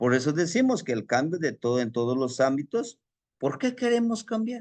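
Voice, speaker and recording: A man with a central Mexican accent speaks at a fairly slow pace in a fairly high pitch, his voice swinging very widely in pitch against a quiet background. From Mexico City. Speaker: spiritual teacher. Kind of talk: lecture.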